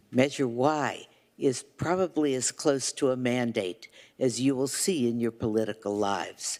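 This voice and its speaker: On a very clean recording with a silent background, a woman speaks at a moderate pace in a very deep, low pitch, her tone dark and mellow and her pitch variation ordinary. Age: 80s+. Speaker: resident speaking at public comment. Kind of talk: public comment. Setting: city council meeting.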